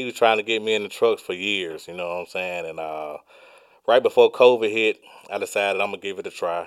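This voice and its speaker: Talking at a very fast pace with big swings in loudness, a man with a Southern US accent comes through on a very clean recording with a silent background. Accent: Southern US (Georgia). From Georgia, US South. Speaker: truck driver. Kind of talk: casual interview.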